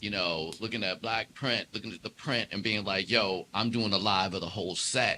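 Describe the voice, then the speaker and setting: In a slight DC accent, a man with a fairly low pitch and a bright, sharp tone speaks at a moderate pace with fairly even intonation and hardly any pauses. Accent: slight DC twang. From Washington DC. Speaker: jazz keyboardist and entrepreneur. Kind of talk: casual interview chat.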